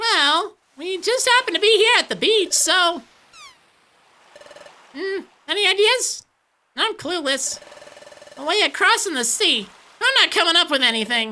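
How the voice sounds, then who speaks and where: In a put-on character voice, the speaker sounds squeaky at an extremely high pitch, moving at a moderate pace with long, frequent pauses. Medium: game stream. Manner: chatty, casual.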